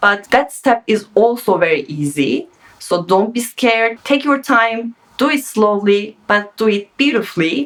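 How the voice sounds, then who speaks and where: Using lively intonation at a fairly slow pace, a woman with a non-native accent speaks at a fairly high pitch. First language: not English. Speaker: sewing pattern designer. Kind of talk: tutorial. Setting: home sewing studio. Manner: casual, unscripted.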